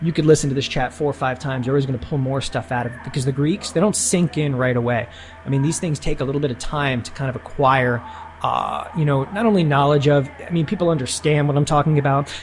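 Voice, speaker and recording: Talking very fast with a fairly high pitch and ordinary pitch variation, a man is heard through noticeable background noise. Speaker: options trading educator. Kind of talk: webinar tutorial.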